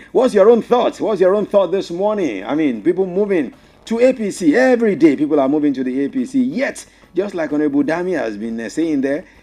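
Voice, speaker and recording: Speaking with a Nigerian accent, a man uses a dark, mellow tone at a high pitch with very wide pitch swings. His pace is fairly quick. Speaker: radio host. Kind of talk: radio phone-in talk show.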